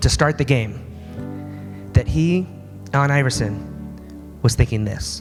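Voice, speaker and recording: Music plays in the background as a man with a medium pitch speaks at a moderate pace. His pitch swings very widely, and he leaves long, frequent pauses. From Alaska. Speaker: motivational speaker. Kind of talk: motivational speech. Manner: animated.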